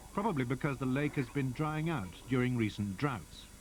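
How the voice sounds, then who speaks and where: A man's medium-pitched, somewhat breathy voice moves at a fairly quick pace. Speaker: documentary narrator. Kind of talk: nature documentary narration.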